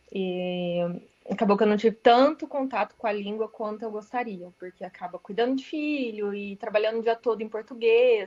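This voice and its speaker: Loudness swings widely as a woman speaks at a moderate pace in a fairly high voice with ordinary pitch variation. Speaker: radiologist, class participant. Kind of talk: casual chat, sharing experience.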